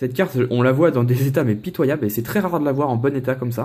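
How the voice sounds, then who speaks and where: The voice is somewhat breathy, moving at a fairly quick pace with lively intonation. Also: man. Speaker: Pokémon card collector YouTuber. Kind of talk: casual unboxing vlog. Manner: casual, hesitant with many fillers.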